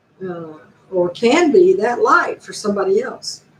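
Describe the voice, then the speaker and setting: The voice swings very widely in pitch, with noticeable background noise. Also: woman. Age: 60s. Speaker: YouTuber. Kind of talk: casual live stream monologue.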